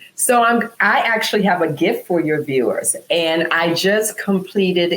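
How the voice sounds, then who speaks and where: An ordinary speaking voice at a fairly slow pace, with lively intonation, very even loudness and hardly any pauses. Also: woman. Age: 60s. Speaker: wellness entrepreneur. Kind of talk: casual interview chat.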